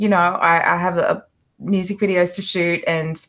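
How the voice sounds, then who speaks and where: In an Australian accent, a woman speaks at a fairly low pitch and a fairly slow pace. The recording is very clean with a silent background. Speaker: actress and musician. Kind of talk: casual interview chat. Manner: halting, many fillers.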